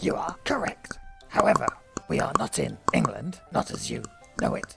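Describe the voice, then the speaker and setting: Someone whispers in a put-on character voice. Clear music plays in the background. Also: moderate pace. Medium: comedy sketch. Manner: formal, stately.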